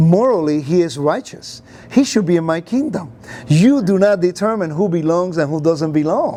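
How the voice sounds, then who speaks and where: Speaking with a Puerto Rican accent, a man uses a high pitch and an animated tone at a moderate pace, amid audible room echo and noticeable background noise. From Puerto Rico, raised in the United States. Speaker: Bible teacher. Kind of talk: interview. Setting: conference venue.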